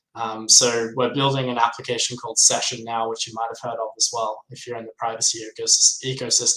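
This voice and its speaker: A man with an Australian accent talks at a fairly quick pace in a medium-pitched voice. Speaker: crypto software developer. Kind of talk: interview.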